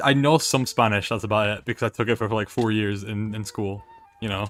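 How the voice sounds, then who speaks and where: Over music in the background, a man with a medium-pitched voice talks at a very fast pace. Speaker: streamer. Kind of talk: casual chat.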